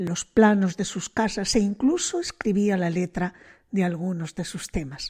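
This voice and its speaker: This woman has a dark, mellow, somewhat breathy tone at medium pitch, with ordinary pitch variation and a fairly slow pace. The recording is very clean, its background silent. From Spain, Bilbao. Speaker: radio host. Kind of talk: radio music programme presenting.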